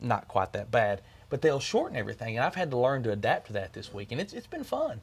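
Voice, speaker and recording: A man with a Kentucky accent at a very fast pace. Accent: American Southern (Kentucky). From Kentucky, US. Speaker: country music singer. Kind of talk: interview.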